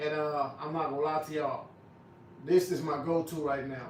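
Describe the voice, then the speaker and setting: A fairly high-pitched man's voice with audible room echo and noticeable background noise. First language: not English. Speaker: barber and livestreamer. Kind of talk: livestream product review chat. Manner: stutters, repeats words; casual, conversational.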